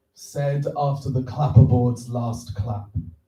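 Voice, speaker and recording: In a Welsh accent, a man with a somewhat breathy, dark, mellow tone talks at a fairly slow pace, his medium pitch showing ordinary variation. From Wales. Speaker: filmmaker and festival judge. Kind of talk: reading aloud own poem. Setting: stage with audience. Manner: slow, deliberate.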